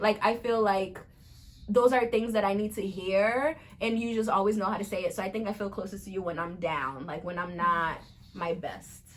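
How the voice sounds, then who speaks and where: A woman with an African accent talks in an animated tone at a moderate pace, using a medium pitch and ordinary pitch variation. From Cape Verde. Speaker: vlogger. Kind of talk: casual chat.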